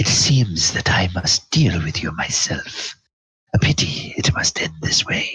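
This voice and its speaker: A man speaks in a put-on character voice with a very deep, low pitch. His pace is fairly slow. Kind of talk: sneering, mocking. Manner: condescending.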